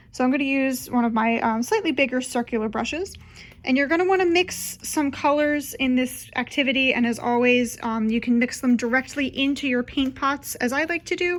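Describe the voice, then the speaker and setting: A woman's high pitch at a fairly quick pace, with ordinary pitch variation and very even loudness. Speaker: children's librarian. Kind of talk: tutorial. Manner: casual, friendly; fast.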